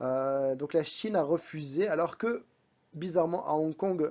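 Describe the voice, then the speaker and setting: Here a man talks in an ordinary speaking voice. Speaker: vlogger. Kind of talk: vlog voice-over. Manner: casual, conversational.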